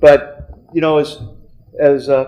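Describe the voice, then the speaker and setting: A fairly high-pitched man's voice with an American accent. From Kansas. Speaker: business consultant. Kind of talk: speech to alumni audience. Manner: halting with many fillers.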